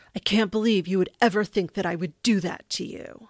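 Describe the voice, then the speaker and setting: A woman's put-on, growling character voice at medium pitch, fairly quick in pace, with a dry, close sound and no echo. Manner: wounded, defensive.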